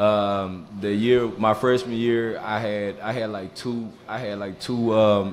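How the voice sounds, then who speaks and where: A man in a Mississippi accent, fairly low in pitch, with monotone, flat intonation over light background noise. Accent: Southern US (Mississippi). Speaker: former college football player; podcast guest. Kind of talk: casual interview. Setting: live show on stage in a bar. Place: bar.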